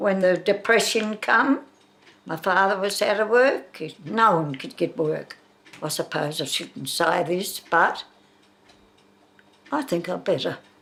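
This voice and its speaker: With an Australian accent, a woman talks at a fairly slow pace in a medium pitch, her intonation lively and her speech broken by long, frequent pauses. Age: 90s. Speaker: elderly local resident. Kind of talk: interview reminiscence.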